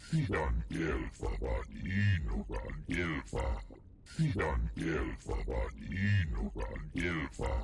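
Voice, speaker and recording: A man's put-on character voice, growling and very deep, at a very slow pace with long, frequent pauses over loud background noise. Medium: video game.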